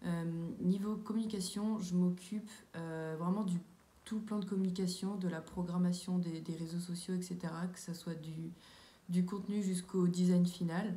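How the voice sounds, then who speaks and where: A woman talks at a fairly slow pace in a medium pitch, her intonation flat and monotone. Room echo is audible. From France, Sarthe (near Le Mans). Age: 20s. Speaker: civic service volunteer, student. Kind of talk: testimony. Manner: hesitant, many fillers.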